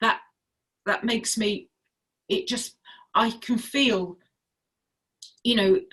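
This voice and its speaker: Fairly high in pitch with vocal fry, a woman speaks at a fairly slow pace. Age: 60s. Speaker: health and wellness advocate. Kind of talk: casual chat.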